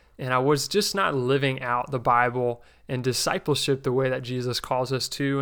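In a very clean recording with a silent background, a man with an American accent talks at a moderate pace in a medium pitch with a bright, sharp tone. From New Jersey. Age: 20s. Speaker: podcast host. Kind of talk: religious teaching podcast.

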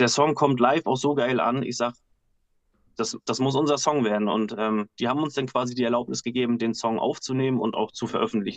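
A man with an unremarkable speaking voice speaks at a medium pitch and moderate pace with ordinary pitch variation, recorded with a dry, close sound and no echo. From Husum, northern Germany. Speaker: bassist and backing singer. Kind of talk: casual chat. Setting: video call from home.

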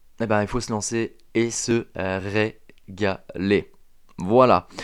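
A man talks at a fairly low pitch. The recording is very clean, with a silent background. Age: 30s. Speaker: podcast host, fitness coach. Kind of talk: solo motivational monologue. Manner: hesitant, many fillers.

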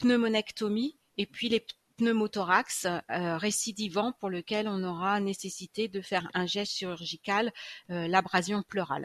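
With a dry, close sound and no echo, a woman speaks at a fairly slow pace in a medium pitch with ordinary pitch variation. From France, Châlons-en-Champagne. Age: 50s. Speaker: nurse. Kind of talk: interview. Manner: hesitant, many fillers.

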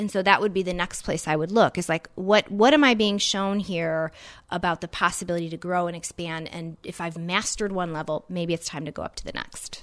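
A normal speaking voice from a woman, fairly low in pitch, fairly quick with hardly any pauses, fairly even intonation and big swings in loudness, over a quiet background. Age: 30s. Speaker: career coach. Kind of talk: interview. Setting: host's home.

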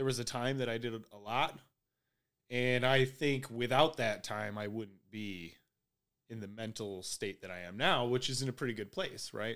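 This man has an ordinary speaking voice, medium in pitch and at a moderate pace, with big swings in loudness. The recording is very clean, with a silent background. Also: ordinary pitch variation. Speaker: podcast host. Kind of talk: casual chat. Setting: hotel room. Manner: profane, casual.

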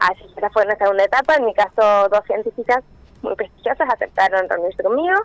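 A woman talks at a very fast pace with a medium pitch and ordinary pitch variation. The sound is dry and close with no echo. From Argentina, Córdoba province (Villa del Rosario). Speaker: chemical engineer and doctoral researcher. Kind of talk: radio interview.

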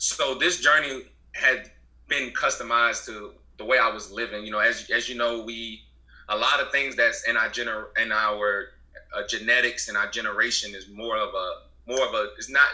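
A man speaks with an American accent. His volume rises and falls in big swings. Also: moderate pace. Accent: Southern US, Gullah Geechee Low Country. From US South, Beaufort, South Carolina Low Country. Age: 20s. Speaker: herbalist business owner. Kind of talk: casual interview.

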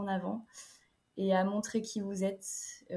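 A somewhat breathy woman's voice at medium pitch, flat and monotone in intonation. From France, Niort (Deux-Sèvres). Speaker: student entrepreneur, web agency founder. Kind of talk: interview.

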